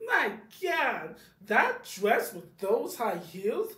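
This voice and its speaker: A cartoonish character voice, high in pitch, with a dramatic tone. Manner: exaggerated, dramatic, scornful.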